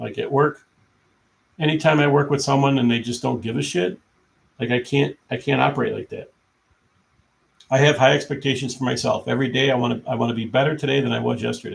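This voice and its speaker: Though his pace is very fast, a man with vocal fry and a medium-pitched voice takes long, frequent pauses, with ordinary pitch variation. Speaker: live streamer. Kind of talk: casual chat. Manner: halting. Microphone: laptop mic.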